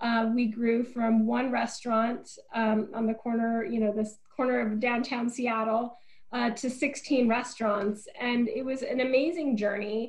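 A woman's fairly high-pitched voice in an American accent, fairly slow in pace, with monotone, flat intonation. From US Pacific Northwest, small town in Eastern Oregon. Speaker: nonprofit CEO and former restaurateur. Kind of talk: interview conversation.

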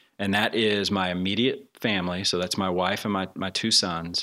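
A man's very deep, low voice with a bright, sharp tone and monotone, flat intonation at a moderate pace, in a very clean recording with a silent background. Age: 40s. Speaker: church staff member. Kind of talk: interview.

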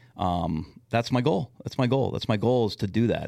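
An ordinary speaking voice at a fairly quick pace with ordinary pitch variation. The recording is very clean, with a silent background. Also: man. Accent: American. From Minnesota, Twin Cities west metro. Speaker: youth sports coach, COVID survivor. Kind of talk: casual chat.

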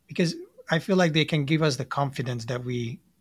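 The speaker talks at a fairly quick pace in a somewhat breathy voice with ordinary pitch variation. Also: man. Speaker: coach and podcast co-host. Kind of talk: interview conversation.

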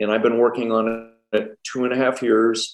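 At a fairly slow pace, a man with a normal speaking voice and an American accent talks at medium pitch. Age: 60s. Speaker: business consultant and former motocross champion. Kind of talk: casual interview chat.

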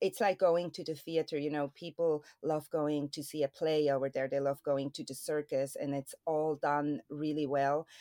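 A woman with a Swiss accent talks in a very deep, low voice with a dark, mellow tone and flat, monotone intonation. The sound is dry and close with no echo, and she hardly pauses at all. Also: moderate pace. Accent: Swiss, non-native English. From Switzerland. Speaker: stuntwoman. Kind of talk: interview.

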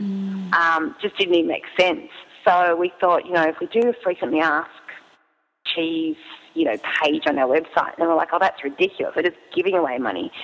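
A woman with an Australian accent talks at a fairly quick pace, her fairly low voice showing ordinary pitch variation. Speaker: cheese business owner and app founder. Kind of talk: interview.

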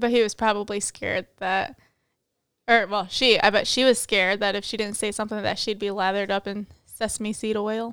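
A woman speaks at a moderate pace and a fairly high pitch in a plain, everyday voice. The recording is very clean, with a silent background. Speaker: podcast co-host, accounting student. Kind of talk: casual chat.

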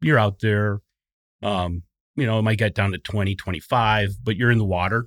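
On a very clean recording with a silent background and a dry, close sound with no echo, a man with an Upper Midwest US accent speaks at a moderate pace in a fairly low voice with ordinary pitch variation. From southeastern Wisconsin. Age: 50s. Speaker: construction safety manager. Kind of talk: casual interview. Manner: hesitant, many fillers.

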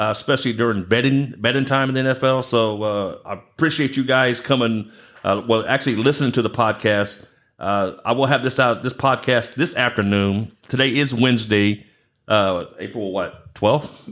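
In a very clean recording with a silent background, a man with an American accent uses a plain, everyday voice at a medium pitch, a moderate pace, and fairly even intonation. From Galveston Island, Texas. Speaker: podcast host. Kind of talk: casual chat.

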